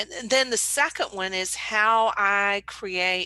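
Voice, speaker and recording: With a Southern US accent, a woman talks at a fairly slow pace and medium pitch in a bright, sharp tone against a quiet background. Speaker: painter and art business owner. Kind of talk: casual tutorial talk to camera.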